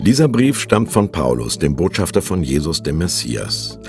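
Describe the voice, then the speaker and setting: Music plays in the background as this man speaks at a moderate pace. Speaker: audiobook narrator. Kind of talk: scripture audiobook reading.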